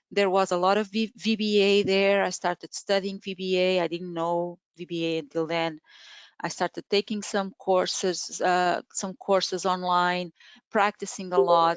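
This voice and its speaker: Speaking with a Portuguese accent, a woman holds a medium pitch and moderate pace in a flat monotone, the sound dry with no echo and the background quiet. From Portugal. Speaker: Excel trainer. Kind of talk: webinar presentation. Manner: halting. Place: home room. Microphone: webcam.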